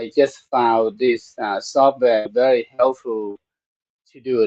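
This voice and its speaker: In a Thai accent, the speaker moves at a very slow pace with ordinary pitch variation, in a dry, close sound with no echo. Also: man. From Thailand. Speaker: Buddhist monk and meditation teacher. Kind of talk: live-streamed talk on Buddhism. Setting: temple studio, live stream. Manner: halting, many fillers.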